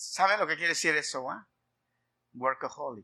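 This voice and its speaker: The background is quiet. A man talks in a bright, sharp tone. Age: 50s. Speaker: pastor. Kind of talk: sermon.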